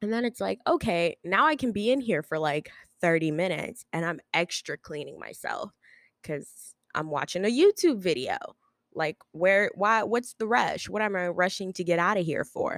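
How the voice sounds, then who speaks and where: A woman with a medium-pitched voice speaks at a moderate pace with lively intonation, recorded very cleanly in a dry, close space with no echo and a silent background. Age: 20s. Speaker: podcast host. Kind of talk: solo casual monologue. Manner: filler-heavy, hesitant.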